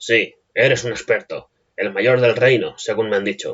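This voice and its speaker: A man uses a put-on character voice at a medium pitch. His resonant delivery moves at a moderate pace. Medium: read story. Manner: irritated, defiant.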